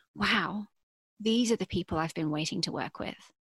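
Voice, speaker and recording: A woman with an English accent speaks at a moderate pace and medium pitch, somewhat breathy and with ordinary pitch variation, on a very clean recording with a silent background and a dry, close sound with no echo. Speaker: podcast host, venture capital. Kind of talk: scripted narration.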